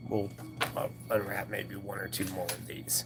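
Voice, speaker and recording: A man's fairly low-pitched voice over noticeable background noise. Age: 20s. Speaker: coin roll hunting streamer. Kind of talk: live stream chat. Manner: casual, conversational.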